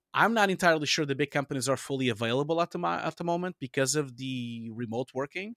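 Very fast speech with lively intonation comes through a very clean recording with a silent background and a dry, close sound with no echo. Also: man, fairly high pitch for a man. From Portugal. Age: 40s. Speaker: visual effects director and supervisor. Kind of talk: interview.

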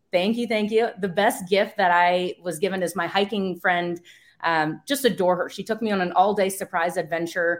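A woman with an American accent speaks at a moderate pace in a normal speaking voice, with medium pitch and fairly even intonation. The recording is very clean, with a silent background. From US East Coast. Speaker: real estate service provider. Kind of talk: interview.

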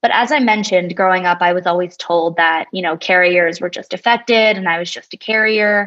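A woman with an American accent, medium in pitch, with ordinary pitch variation and an unremarkable speaking voice. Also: fairly quick pace. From New Jersey. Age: 20s. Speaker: patient advocate. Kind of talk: interview.

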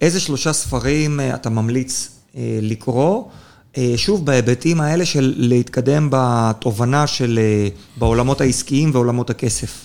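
At a fairly slow pace, a man uses a plain, everyday voice of medium pitch with ordinary pitch variation. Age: 30s. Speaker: podcast host, lawyer. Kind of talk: interview.

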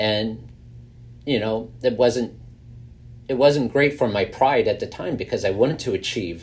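This man has an American accent, a slightly mellow tone, a fairly slow pace and ordinary pitch variation.

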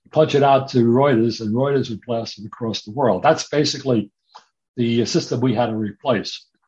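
Somewhat breathy, a man speaks at medium pitch and a moderate pace, with ordinary pitch variation. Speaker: retired computer programmer. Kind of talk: casual chat.

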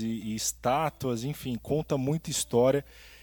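A man with an ordinary speaking voice talks at a moderate pace, his pitch medium and his intonation fairly even. The recording is very clean, with a silent background. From Brazil, São Paulo state (Ribeirão Preto). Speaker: musician and real estate agent, podcast co-host. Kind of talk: casual chat.

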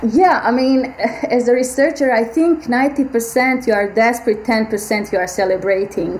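Over noticeable background noise, a woman with a fairly high pitch speaks at a fairly slow pace, with ordinary pitch variation and hardly any pauses. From Bosnia and Herzegovina. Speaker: biomedical AI researcher. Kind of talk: interview.

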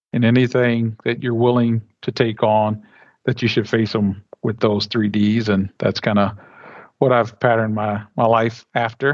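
A man with a Midwestern American accent, medium-pitched, at a fairly slow pace in a flat monotone, quiet background. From Flint, Michigan. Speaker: energy company executive. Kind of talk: casual interview.

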